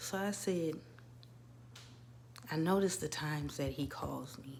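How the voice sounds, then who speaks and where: A woman's very deep, low-pitched voice with audible room echo. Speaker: birth doula and wellness coach vlogger. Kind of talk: casual personal vlog monologue. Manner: conversational with frequent fillers.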